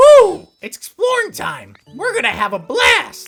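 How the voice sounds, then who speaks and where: A put-on character voice at an extremely high pitch, upbeat and moderately paced, with faint music in the background. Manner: upbeat, excitable.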